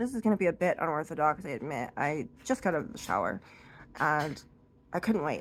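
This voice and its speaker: The speaker is a woman. Her pitch rises and falls very widely. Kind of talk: casual talk to camera. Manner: improvised, rambling.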